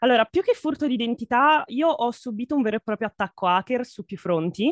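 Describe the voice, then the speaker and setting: In a dry, close sound with no echo, a woman with an unremarkable speaking voice speaks at a fairly quick pace, fairly high in pitch with lively intonation. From Italy. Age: 20s. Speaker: VTuber and graphic artist. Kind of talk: casual interview.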